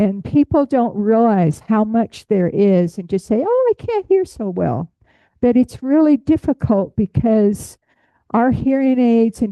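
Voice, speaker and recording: Ordinary pitch variation at a fairly slow pace. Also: woman. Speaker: butterfly enthusiast, hearing access advocate. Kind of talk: lecture. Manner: projecting voice loudly.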